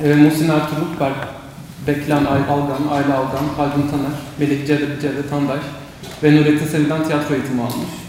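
A man speaks at a fairly high pitch. The room echoes audibly over noticeable background noise. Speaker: student moderator. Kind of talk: moderating a panel. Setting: university panel with audience. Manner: halting.

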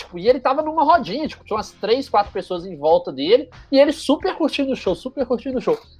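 Music plays in the background while the speaker goes at a very fast pace. The pitch swings very widely. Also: man. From Brazil, Juiz de Fora (Minas Gerais). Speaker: journalist and content creator. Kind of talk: casual interview storytelling.

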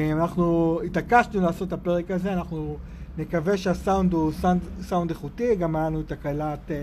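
High-pitched male voice with fairly even intonation at a moderate pace. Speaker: podcast host, emissary. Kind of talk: casual interview. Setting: outdoors.

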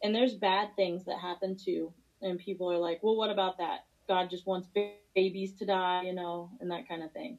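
A woman with an American accent has an ordinary speaking voice, medium in pitch with fairly even intonation, at a moderate pace. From Missouri. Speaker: MMA fighter. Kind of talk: interview.

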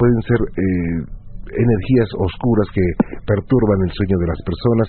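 Ordinary pitch variation runs through the speech. It comes from a man. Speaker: radio host. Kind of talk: late-night call-in radio show.

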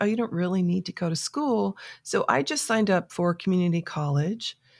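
A woman with an unremarkable speaking voice talks in an American accent at a medium pitch. Her intonation is lively and her pace moderate. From South Florida. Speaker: author and life coach. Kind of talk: interview.

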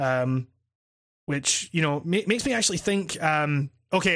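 A fairly high-pitched man with a Scottish accent on a very clean recording with a silent background. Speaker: games critic and YouTube podcast host. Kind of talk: casual chat. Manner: halting, many false starts.

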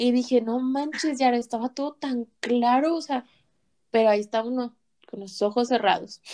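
A woman speaks at a moderate pace in a high pitch with a dark, mellow tone and ordinary pitch variation. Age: 20s. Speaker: guest. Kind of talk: casual chat.

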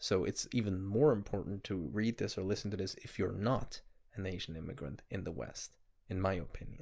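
His voice is fairly low, with vocal fry and lively intonation. The man speaks at a fairly quick pace. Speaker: podcast co-host. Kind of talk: casual book discussion.

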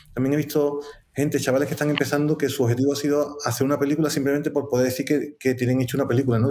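The speaker talks very fast in a flat monotone at a very even loudness. Noticeable background noise runs underneath. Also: man. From Seville, Andalusia, Spain. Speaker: film producer. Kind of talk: live-streamed interview.

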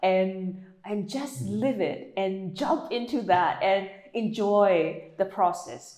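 A woman speaks with lively intonation amid audible room echo. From Myanmar. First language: Burmese. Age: 40s. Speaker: meditation coach. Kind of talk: interview.

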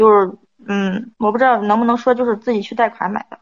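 A woman talks at a very fast pace with a fairly high pitch. Her intonation is monotone and flat. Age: 30s. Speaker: advice show caller. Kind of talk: personal story told to an advice host. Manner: halting.

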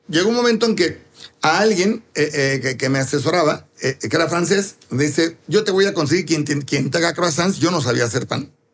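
Lively intonation and a moderate tempo in a normal speaking voice. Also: man, fairly high pitch for a man. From Mexico City. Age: 60s. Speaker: pastry chef and bakery owner. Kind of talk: interview.

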